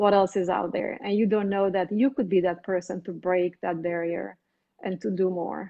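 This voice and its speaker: A woman speaks at a medium pitch with a Romanian accent. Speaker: physician. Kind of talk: interview.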